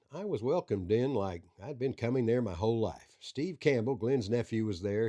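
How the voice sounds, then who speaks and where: A man with a Southern US accent speaks in a dark, mellow tone against a quiet background. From Arkansas. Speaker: coroner and backroads storyteller. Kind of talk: scripted narration.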